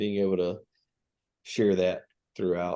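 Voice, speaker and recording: With a Southern accent and a dark, mellow tone, a man talks at a moderate pace against a quiet background. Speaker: graduate student. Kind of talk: casual chat.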